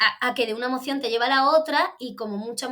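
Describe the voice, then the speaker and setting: A woman with an Andalusian accent talks very fast in a high, bright, sharp voice. Her pitch variation is ordinary. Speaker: theatre director and actress. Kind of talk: interview. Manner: hesitant, many restarts.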